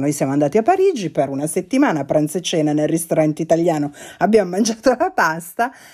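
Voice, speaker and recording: Speaking at a fairly quick pace, a woman uses a fairly low pitch, a dark, mellow tone and lively intonation. The recording is very clean with a silent background. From Italy, not from Milan. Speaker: podcast co-host, journalist. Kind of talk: casual chat.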